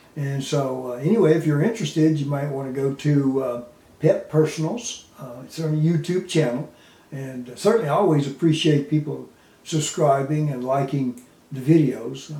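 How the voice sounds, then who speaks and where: A man with a fairly high voice talks at a moderate pace, his pitch varying in an ordinary way while his loudness swings widely. Noticeable background noise and audible room echo fill the recording. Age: 70s. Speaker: animal advocate. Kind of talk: casual monologue to camera. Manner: halting, many fillers; unscripted, off the cuff.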